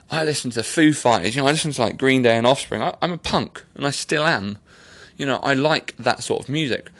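A man with an English accent speaks at a very fast pace in a fairly high pitch, with ordinary pitch variation. His tone is animated. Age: 30s. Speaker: podcast host. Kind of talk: casual monologue. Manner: rambling, animated.

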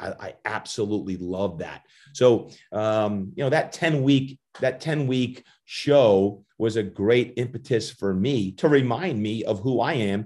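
Against a silent background in a very clean recording, a man with an American accent and medium pitch speaks at a fairly slow pace in an animated tone with ordinary pitch variation. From New Jersey, US. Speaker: fitness coach and motivational speaker. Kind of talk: podcast interview.

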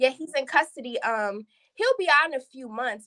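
Raised and projected, a woman's voice sits high in pitch with a bright, sharp tone, lively intonation and a moderate pace. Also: dry, close sound with no echo. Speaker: caller. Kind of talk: casual chat. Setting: video call.

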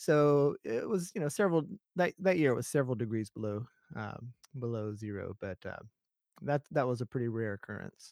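An unremarkable speaking voice with an American accent, lively intonation and a fairly quick pace, in a dry, close sound with no echo. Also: man, medium pitch for a man. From US South, Alabama. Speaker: professor. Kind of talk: casual interview.

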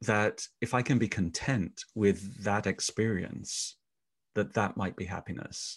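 Against a quiet background, a man talks at a fairly slow pace in a fairly low, somewhat breathy voice with ordinary pitch variation. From England. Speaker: podcast host and Gestalt therapist. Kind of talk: interview conversation.

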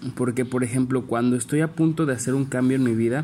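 With a Mexican accent, a man speaks in a dark, mellow tone with fairly even intonation. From Mexico, San Luis Potosí. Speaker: entrepreneur podcaster. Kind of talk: personal reflection monologue. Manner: halting, many fillers.

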